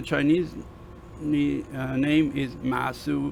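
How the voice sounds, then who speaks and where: Speaking with a Persian accent, a man talks at a fairly slow pace. There is light background noise. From Iran. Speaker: university lecturer. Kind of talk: lecture. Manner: halting, many fillers.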